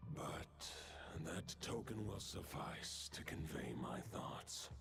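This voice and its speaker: A man's whispered put-on character voice at a very slow pace, with clear background noise. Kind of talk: archaic epic speech. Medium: video game. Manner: formal, measured.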